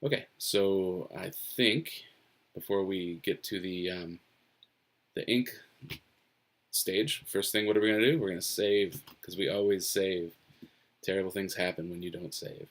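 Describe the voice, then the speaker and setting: With an American accent, a man mumbles at a fairly low pitch and a fairly slow pace, leaving long, frequent pauses. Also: ordinary pitch variation. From US Northeast. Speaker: webcomic artist. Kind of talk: live-stream drawing commentary. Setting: home office, live stream. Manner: mumbles to himself.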